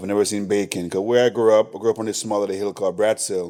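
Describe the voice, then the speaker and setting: With a Jamaican accent, a man talks at a fairly low pitch on a very clean recording with a silent background. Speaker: chef and restaurant owner. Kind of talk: casual interview chat.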